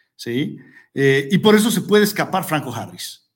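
His pitch climbs and drops very widely. The man keeps to a fairly slow pace. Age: 40s. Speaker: sports podcast host. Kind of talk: casual sports commentary. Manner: animated; hesitant with repeated words.

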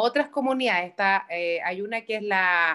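A bright, sharp tone with very wide pitch swings at a fairly slow pace. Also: woman. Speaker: podcast co-host. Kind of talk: casual chat.

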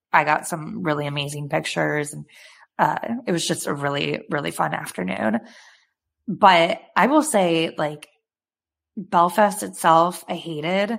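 With an American accent, a woman speaks fairly slowly in a very deep, low voice with vocal fry and lively intonation, on a very clean recording with a silent background. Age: 20s. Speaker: podcast co-host. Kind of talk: casual chat.

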